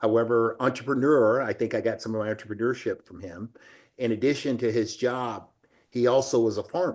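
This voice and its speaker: Behind this voice the background is quiet. It is an unremarkable speaking voice, with a moderate pace and fairly even intonation. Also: man. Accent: American. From US South, Alabama. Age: 60s. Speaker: business executive. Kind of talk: interview.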